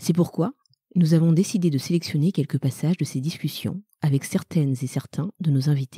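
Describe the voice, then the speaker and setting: In a dry, close recording with no echo, a woman with a very deep, low pitch speaks in a somewhat breathy, dark, mellow tone with ordinary pitch variation. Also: moderate pace. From Madagascar. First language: Malagasy (speaking French). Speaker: podcast co-host. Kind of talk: scripted announcement.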